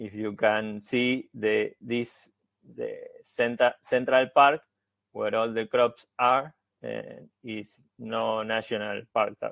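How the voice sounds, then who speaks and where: A man with a Spanish accent at a very slow pace, with big swings in loudness. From Argentina. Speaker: researcher, forest engineer. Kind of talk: academic seminar presentation. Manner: halting, many fillers.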